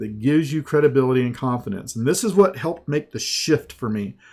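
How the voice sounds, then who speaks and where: Speaking with a Southern US accent, a man uses a fairly high pitch that varies in an ordinary way. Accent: slow Southern US. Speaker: sales and marketing trainer. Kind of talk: sales pitch in a training webinar.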